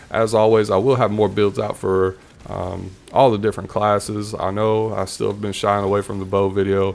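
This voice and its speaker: A man with a Southern accent speaks at a moderate pace in a fairly low voice. His intonation is flat and monotone. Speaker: gaming YouTuber. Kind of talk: casual video commentary. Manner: chatty, rambling.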